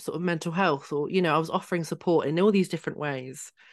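The speaker has a southern English accent and fairly even intonation. The background is quiet. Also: woman. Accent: English, southern England. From Hertfordshire, England. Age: 30s. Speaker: trauma coach and author. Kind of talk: casual interview chat.

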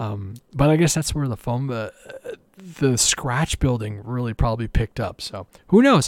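A man with a plain, everyday voice speaks at medium pitch and a moderate pace, with ordinary pitch variation and big swings in loudness. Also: dry, close sound with no echo. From Canada. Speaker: RC aircraft hobbyist podcast host. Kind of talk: solo podcast monologue.

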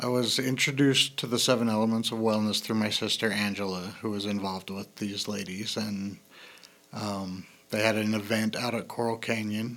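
Flat, monotone intonation marks a man's fairly low voice as he talks at a moderate pace. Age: 40s. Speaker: wellness program participant sharing personal story. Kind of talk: interview testimony. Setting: studio. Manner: halting with fillers.

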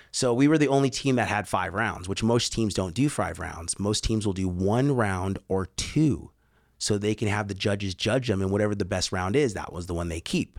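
This is a man with an ordinary speaking voice, fairly low in pitch, at a moderate pace with ordinary pitch variation. The recording is very clean and the background silent. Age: 40s. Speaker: skydiver and tunnel coach. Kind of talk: casual chat. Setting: studio.

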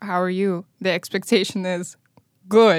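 A woman with an Eastern European accent speaks at a moderate pace and medium pitch with fairly even intonation, on a very clean recording with a silent background and a dry, close sound with no echo. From Moldova. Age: 20s. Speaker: violinist and musician. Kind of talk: casual chat.

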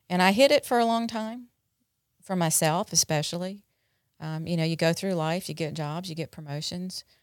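An ordinary speaking voice from a woman, fairly low in pitch with ordinary pitch variation, at a moderate pace, on a very clean recording with a silent background and a dry, close sound with no echo. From North Carolina. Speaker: addiction treatment center director. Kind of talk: interview, personal recovery story.

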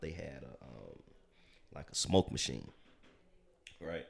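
Speaking at a fairly slow pace with long, frequent pauses, a man with a very deep, low pitch and vocal fry shows ordinary pitch variation and big swings in loudness. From US Midwest, south side of Chicago. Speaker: entrepreneur. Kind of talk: interview.

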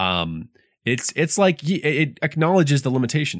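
The man's tone is animated, his pace moderate. The recording is very clean, with a silent background. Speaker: high school English teacher. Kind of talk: casual banter podcast. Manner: animated, joking.

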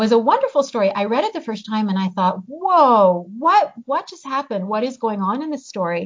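With an American accent, a woman talks at a fairly quick pace with hardly any pauses, using a fairly high pitch, lively intonation, big swings in loudness and a somewhat breathy voice. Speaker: novelist and professor. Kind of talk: interview.

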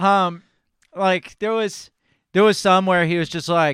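Speaking at a moderate pace with an animated tone, a man with a high pitch is heard in a very clean recording against a silent background. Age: 30s. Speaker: podcast host. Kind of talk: casual chat.

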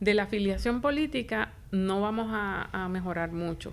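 This is a woman speaking at a medium pitch. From Puerto Rico, Isabela. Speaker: professor and director of a public administration school. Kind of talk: interview.

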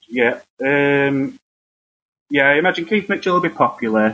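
A man speaks in a Northern English accent. His pace is moderate. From northern England. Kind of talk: casual chat. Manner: hesitant, halting.

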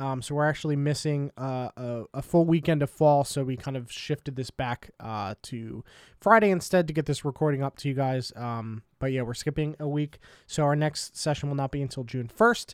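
A normal speaking voice at a moderate pace, with ordinary pitch variation, in a very clean, dry, close recording with a silent background and no echo. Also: man, fairly high pitch for a man. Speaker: podcast host and player. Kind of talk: casual chat and tabletop game play. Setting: live stream.

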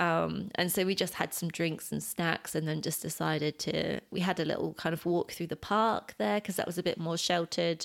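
A woman speaks fairly quickly in a British accent, her pitch fairly low with vocal fry. The recording is very clean, with a silent background. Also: ordinary pitch variation, hardly any pauses. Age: 30s. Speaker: podcast co-host's partner. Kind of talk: casual chat.

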